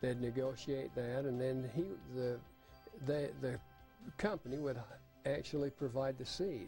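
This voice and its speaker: With music in the background, a man with an American accent speaks at medium pitch. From Utah. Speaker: retired farmer and veteran. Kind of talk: oral history interview. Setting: home recording. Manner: casual, hesitant with fillers.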